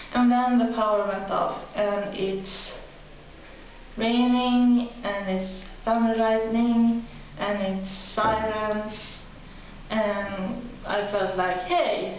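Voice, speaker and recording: A woman with a Swedish accent speaks at a very slow pace, leaving long, frequent pauses. The recording has noticeable background noise and audible room echo. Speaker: video blogger. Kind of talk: casual vlog monologue. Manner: halting.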